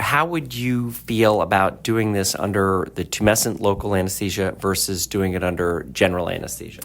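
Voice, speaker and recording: A man speaks at a moderate pace in a plain, everyday voice. His pitch sits fairly low, with ordinary pitch variation. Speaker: plastic surgeon, interviewer. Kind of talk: podcast interview host.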